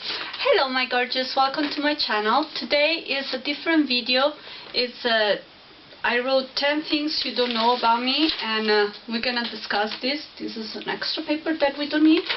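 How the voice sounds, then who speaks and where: The speaker has a non-native accent and ordinary pitch variation. Noticeable background noise runs behind the voice. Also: woman, high pitch for a woman, moderate pace. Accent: foreign. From Spain, then Italy from age eleven. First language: Spanish. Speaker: YouTuber. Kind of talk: casual vlog Q&A. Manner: halting.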